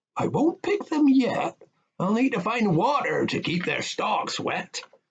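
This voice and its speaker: The man uses a put-on character voice pitched extremely high. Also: fairly slow pace. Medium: read story.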